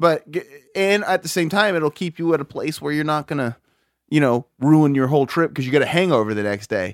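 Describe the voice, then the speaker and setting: In an ordinary speaking voice, a man with a fairly high pitch and lively intonation talks at a fairly quick pace, recorded dry and close with no echo on a very clean, silent background. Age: 30s. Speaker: podcast co-host. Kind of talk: casual chat.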